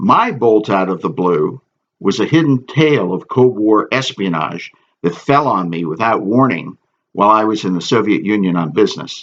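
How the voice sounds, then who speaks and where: In an ordinary speaking voice, a man talks at a moderate pace with lively intonation. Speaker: author. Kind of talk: audiobook reading.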